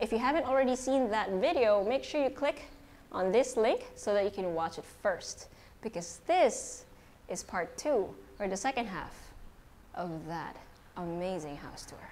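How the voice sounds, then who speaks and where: At a moderate pace, a woman speaks with very wide pitch swings and big swings in loudness. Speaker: property tour host. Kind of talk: casual house tour commentary. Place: hall.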